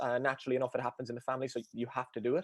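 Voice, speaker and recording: A man with a strong Cork accent. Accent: Cork Irish, thick. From Ireland, Cork. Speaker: endurance coach. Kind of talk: podcast interview. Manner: fast; high energy.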